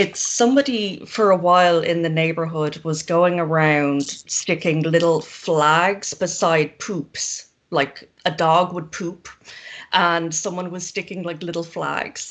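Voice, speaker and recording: With an Irish accent, the speaker talks at a fairly slow pace. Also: woman. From Ireland. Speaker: zine maker. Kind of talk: casual chat.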